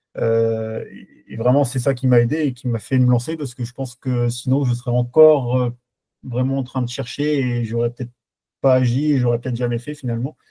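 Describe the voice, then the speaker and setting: Flat and monotone, a man's medium-pitched voice comes across fairly quickly with a dark, mellow, somewhat breathy tone. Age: 20s. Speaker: truck driver, coaching client. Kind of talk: testimonial interview. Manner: halting, many hesitations.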